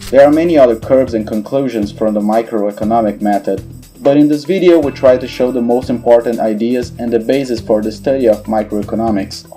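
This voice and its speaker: Music plays behind a man with a non-native accent who talks at a fairly quick pace with hardly any pauses. His pitch is medium, with ordinary variation. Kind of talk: educational explainer narration.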